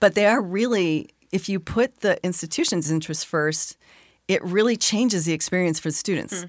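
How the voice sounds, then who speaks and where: A woman with a plain, everyday voice and an American accent speaks at a moderate pace in medium pitch with ordinary pitch variation, on a very clean recording with a silent background. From Arizona. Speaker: education innovator. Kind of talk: interview.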